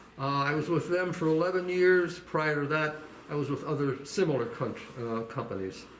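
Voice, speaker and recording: Noticeable background noise sits behind a man speaking at a moderate pace. His pitch is fairly high and varies in an ordinary way. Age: 80s. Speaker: retired steel company marketing director. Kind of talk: interview answer, casual advice to young people.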